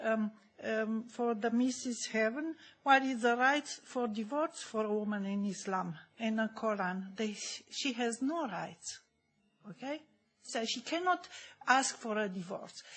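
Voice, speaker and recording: Somewhat breathy, a woman speaks at a fairly high pitch and a fairly slow pace. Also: ordinary pitch variation. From Germany. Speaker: audience member asking a question. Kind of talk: Q&A question from the floor. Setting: conference hall. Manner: halting, many fillers.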